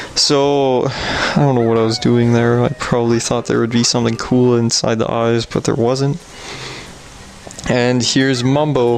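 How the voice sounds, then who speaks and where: Noticeable background noise behind a fairly slow pace of speech. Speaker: let's play gamer. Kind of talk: voice-over gameplay commentary. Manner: casual, rambling with self-corrections.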